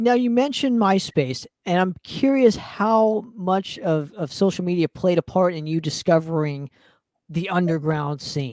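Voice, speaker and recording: In a very clean recording with a silent background, a woman with an American accent speaks fairly slowly in a fairly low pitch, her tone dark and mellow and her intonation lively. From Southern California. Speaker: podcast host. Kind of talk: casual interview chat.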